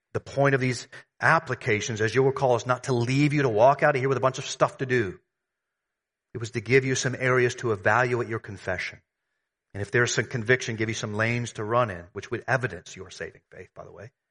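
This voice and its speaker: Very fast American-accented speech, fairly even in intonation but with big swings in loudness, over a quiet background. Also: man, medium pitch for a man. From US South. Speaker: pastor. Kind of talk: sermon.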